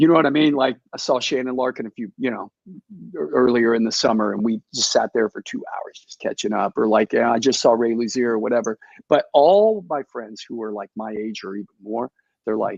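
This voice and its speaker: With an American accent, a man talks at a fairly quick pace, his loudness swinging a lot, in a dry, close sound with no echo. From Texas. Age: 50s. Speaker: heavy metal drummer. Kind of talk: interview. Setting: video call from a hotel room. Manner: casual, halting with many fillers.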